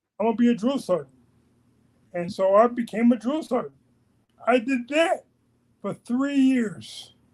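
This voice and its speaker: A man with an American accent, his pitch extremely high, an animated tone and lively intonation, at a moderate pace broken by long, frequent pauses. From New York City (Queens). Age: 60s. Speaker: army veteran and podcast guest. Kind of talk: interview, life story. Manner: animated, repetitive.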